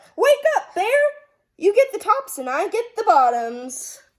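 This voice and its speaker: A woman uses a squeaky, put-on character voice at an extremely high pitch, swinging very widely in pitch at a moderate pace. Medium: read story. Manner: eager, persuasive.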